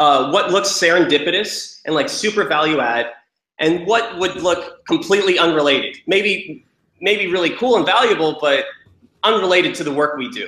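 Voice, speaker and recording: A high-pitched man at a moderate pace with lively intonation. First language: Romanian. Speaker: sales startup founder. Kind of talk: podcast interview. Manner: hesitant, many fillers.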